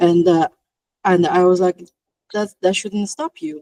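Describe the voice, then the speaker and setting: A woman's dark, mellow, fairly low voice with a non-native accent, fairly even intonation and a moderate pace, in dry, close sound with no echo. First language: not English. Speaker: VFX artist. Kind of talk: panel discussion.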